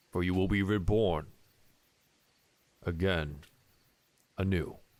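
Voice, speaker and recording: A man performs a put-on character voice at a very deep, low pitch. He speaks at a fairly slow pace. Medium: actual play. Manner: formal, grave.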